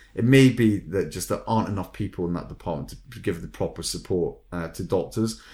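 A man speaks with a Scottish accent and audible vocal fry. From Scotland. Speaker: recruitment consultant podcast host. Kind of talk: casual chat.

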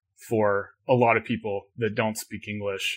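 A man's fairly low voice, bright and sharp in tone, monotone and flat, at a moderate pace in a very clean recording with a silent background. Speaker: tech company CEO. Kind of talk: interview conversation.

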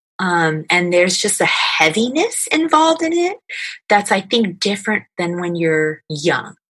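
Using an ordinary speaking voice, a woman delivers her words at medium pitch, her intonation lively. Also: fairly slow pace. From New York (Scarsdale), moved from California in fifth grade. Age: 40s. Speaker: youth ministry program manager. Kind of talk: interview.

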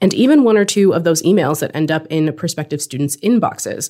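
A woman with an American accent has a plain, everyday voice, a fairly low pitch, and ordinary pitch variation. The recording is very clean, its background silent. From California. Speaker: university writer and podcast host. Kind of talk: casual podcast conversation.

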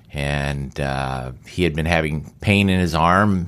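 A man speaks at a very deep, low pitch with vocal fry and fairly even intonation. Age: 60s. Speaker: solar energy company CEO and older athlete. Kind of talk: interview. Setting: in his company office.

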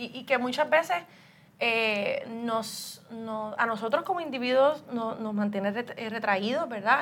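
Fairly high in pitch, this woman has an unremarkable speaking voice with ordinary pitch variation. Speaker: human resources director and podcast host. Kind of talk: interview.

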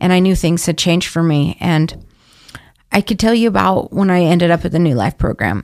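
A woman with an American accent speaks in a fairly low voice with ordinary pitch variation. Her loudness stays very even. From Idaho, Boise. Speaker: addiction recovery program intake coordinator. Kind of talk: interview. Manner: animated.

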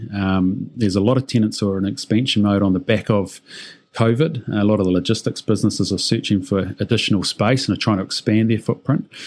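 Very fast speech from a man with a New Zealand accent. His pitch is fairly low, with ordinary variation. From New Zealand, Auckland. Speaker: company CEO. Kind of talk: interview.

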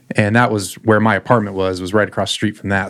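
With monotone, flat intonation, a man talks at a fairly low pitch. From South Florida. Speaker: chef. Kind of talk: casual chat. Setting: studio.

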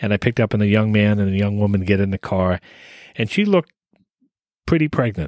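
A man with an American accent at a fairly quick pace, in a dry, close sound with no echo. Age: 50s. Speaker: podcast co-host, driver. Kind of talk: casual chat.

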